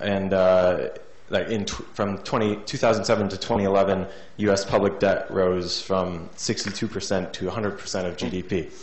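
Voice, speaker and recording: Noticeable background noise sits behind a man with a fairly low pitch. He speaks very slowly in a flat monotone. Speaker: audience member asking question. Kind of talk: audience question.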